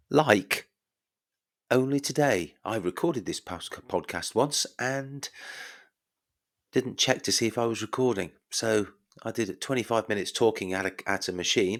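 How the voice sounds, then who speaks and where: A soft-spoken man with an English accent talks with ordinary pitch variation and long, frequent pauses on a very clean recording with a silent background. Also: medium pitch for a man, moderate pace. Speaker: podcast host. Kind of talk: podcast monologue. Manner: quiet and soft.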